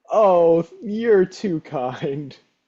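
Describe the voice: Putting on a character voice, a man speaks very slowly at a fairly high pitch, with a dark, mellow tone and lively intonation.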